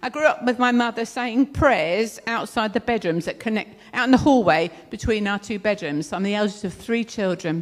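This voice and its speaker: Her fairly high pitch and lively intonation mark this woman, who speaks at a moderate pace with a southern English accent. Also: hardly any pauses. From southern England (London, then Kent). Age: 60s. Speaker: speaker sharing testimony, counselor. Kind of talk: testimony. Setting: church event, speaking in front of audience.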